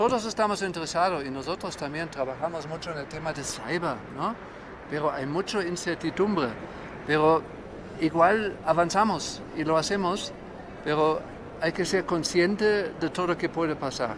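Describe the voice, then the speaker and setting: A high-pitched man with a German accent at a moderate pace, with ordinary pitch variation and noticeable background noise. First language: German (speaking Spanish). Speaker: reinsurance executive. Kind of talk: panel discussion.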